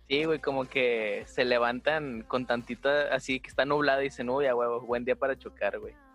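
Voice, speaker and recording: Speaking with a Mexican accent, a man at medium pitch talks in a monotone, flat intonation with hardly any pauses. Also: moderate pace. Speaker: podcast host and design student. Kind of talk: casual chat.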